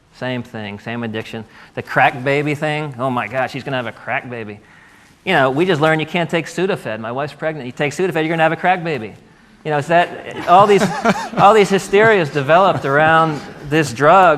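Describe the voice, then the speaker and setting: Against noticeable background noise, a man with an American accent talks in a fairly high pitch with lively intonation. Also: fairly quick pace. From US mid-Atlantic. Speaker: author. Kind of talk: panel discussion. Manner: animated.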